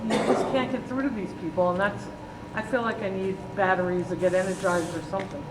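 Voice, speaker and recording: A woman speaks very fast at medium pitch with lively intonation. Noticeable background noise and audible room echo fill the recording. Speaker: audience member, church stewardship chair. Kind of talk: audience question. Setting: church seminar, no microphone. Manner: loud.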